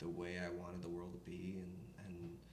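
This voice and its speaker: Over noticeable background noise and audible room echo, a man with an American accent speaks at a very deep, low pitch. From upstate New York. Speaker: country singer. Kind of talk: interview.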